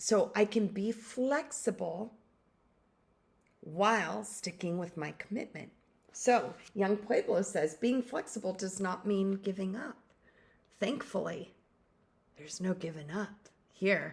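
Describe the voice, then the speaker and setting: A woman speaks at a fairly slow pace, her voice medium-pitched and somewhat breathy. Her pitch varies in an ordinary way, and she leaves long, frequent pauses. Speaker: life coach and podcast host. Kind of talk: motivational talk to camera. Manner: casual, candid.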